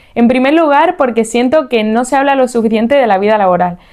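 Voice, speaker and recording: A very fast pace with ordinary pitch variation. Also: woman. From Spain, Seville (Andalusia). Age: 30s. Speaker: podcast host. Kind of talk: podcast monologue.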